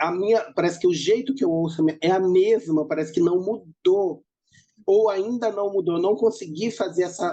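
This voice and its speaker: A woman's dark, mellow voice with lively intonation at a moderate pace. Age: 40s. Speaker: professor. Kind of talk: interview.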